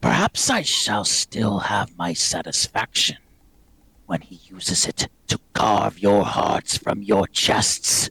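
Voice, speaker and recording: Using a put-on character voice, a man sounds raspy and guttural at a fairly low pitch. He speaks at a fairly slow pace. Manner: menacing.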